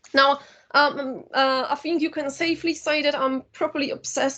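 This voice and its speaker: A woman with a Polish accent, fairly even intonation, and a quiet background. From Poland. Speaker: university lecturer and filmmaker. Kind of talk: lecture. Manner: hesitant with fillers.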